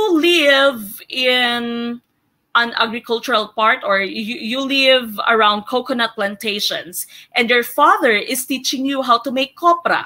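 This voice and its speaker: A woman's high, bright, sharp voice at a fairly slow pace in a very clean recording with a silent background. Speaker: teacher and exam review coach. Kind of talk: lecture. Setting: live stream.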